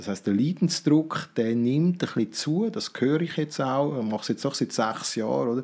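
Lively intonation runs through a man's unremarkable speaking voice. He keeps a medium pitch and a moderate pace. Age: 50s. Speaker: business consultant. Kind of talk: interview.

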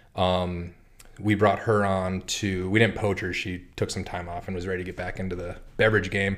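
A man with an American accent speaks at a moderate pace in a very deep, low voice. His intonation is flat and monotone. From North Dakota, US Midwest. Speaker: cider maker. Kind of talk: casual chat. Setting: studio.

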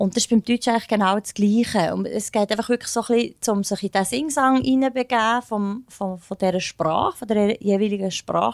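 A woman with an unremarkable speaking voice talks at a fairly quick pace, barely pausing. Her pitch sits fairly high with ordinary variation, and the sound is dry and close with no echo. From Bernese Oberland, Switzerland. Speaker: soul singer. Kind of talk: interview.

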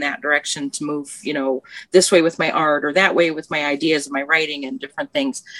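A woman speaks with a bright, sharp tone. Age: 50s. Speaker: podcast guest. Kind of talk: casual chat.

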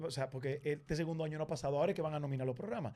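A man with a Dominican accent at a very fast pace. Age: 30s. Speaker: television presenter. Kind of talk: casual chat.

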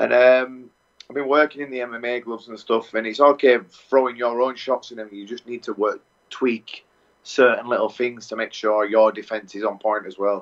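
With an English accent, a man at medium pitch talks at a moderate pace with fairly even intonation. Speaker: Muay Thai fighter. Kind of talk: interview.

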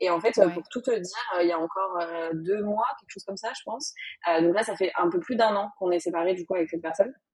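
A woman talks at a very fast pace with big swings in loudness. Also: medium pitch for a woman, ordinary pitch variation. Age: 20s. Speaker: content creator and business owner. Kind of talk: interview.

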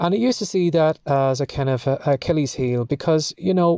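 With an Irish accent, a man speaks in a dark, mellow tone. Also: quiet background. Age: 50s. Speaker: podcast host, writer. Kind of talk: solo monologue podcast.

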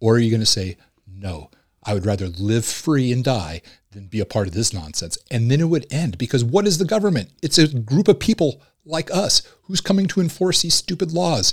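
Somewhat breathy and at a medium pitch, a man speaks at a moderate pace with very wide pitch swings, the sound dry and close with no echo. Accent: American. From Southern California. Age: 40s. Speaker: former Marine and police officer. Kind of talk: casual chat.

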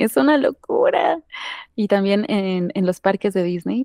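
A woman with a dark, mellow tone talks at a fairly slow pace, recorded very cleanly against a silent background with a dry, close sound and no echo. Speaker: singer and voice actress. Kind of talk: casual interview chat.

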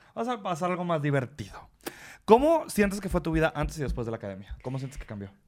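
Speaking at a very fast pace, a man with a fairly high pitch shows very wide pitch swings and big swings in loudness. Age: 20s. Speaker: podcast host. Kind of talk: casual chat.

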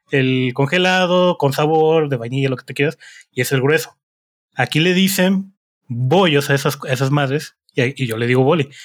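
Speaking at a moderate pace, a man has a fairly high pitch. The recording is very clean, with a silent background. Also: ordinary pitch variation. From Morelia, Michoacán, Mexico. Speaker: podcast co-host. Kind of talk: casual chat.

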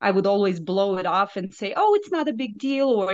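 A woman with a Russian accent at a moderate pace and medium pitch, over a quiet background. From Belarus. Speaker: nurse and health coach. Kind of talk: interview, personal testimony.

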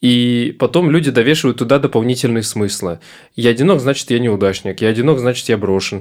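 In a very clean recording with a silent background, a man with a plain, everyday voice speaks at medium pitch and a fairly quick pace, with very even loudness and ordinary pitch variation. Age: 20s. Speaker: psychotherapist. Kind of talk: casual interview.

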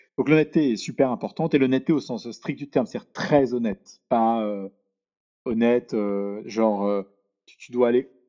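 A man talks at a moderate pace in a medium pitch. His tone is dark and mellow, with ordinary pitch variation. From Paris, France. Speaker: venture capital investor. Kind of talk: podcast interview. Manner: halting.

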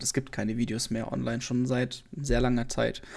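A man's medium-pitched voice, dark and mellow in tone, with monotone, flat intonation at a moderate pace. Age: 20s. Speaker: podcaster and former let's player. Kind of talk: solo podcast monologue, unscripted. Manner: hesitant, many fillers.

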